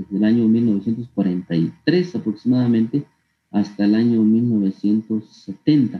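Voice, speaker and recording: Music runs in the background. A man talks with ordinary pitch variation. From Guatemala, Huehuetenango (San Pedro Soloma). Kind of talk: interview testimony. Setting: online call. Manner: halting, with frequent repetitions and fillers.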